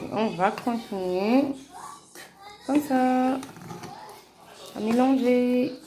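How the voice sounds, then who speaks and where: Soft-spoken and high-pitched, a woman speaks at a very slow pace, with long, frequent pauses, audible room echo, and noticeable background noise. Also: ordinary pitch variation. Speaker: home cooking vlogger. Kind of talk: cooking tutorial. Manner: halting, many hesitations.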